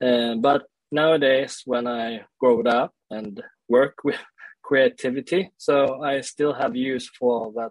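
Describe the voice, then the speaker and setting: With a Swedish accent, the speaker goes at a fairly slow pace and keeps the intonation fairly even. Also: man. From Sweden (born in South Korea). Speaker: leadership coach and speaker. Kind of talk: interview conversation. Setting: remote call. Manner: halting.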